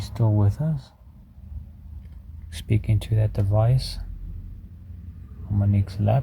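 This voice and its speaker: A man with a fairly low pitch and a dark, mellow tone speaks at a moderate pace, leaving long, frequent pauses. His voice is somewhat breathy, and his loudness stays very even. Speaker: paranormal investigator. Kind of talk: paranormal investigation session.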